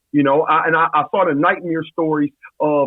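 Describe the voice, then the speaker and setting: A man with an American accent speaks loudly at a high pitch. His tone is energetic, and his pace is fairly quick. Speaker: college football coach. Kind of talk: podcast interview.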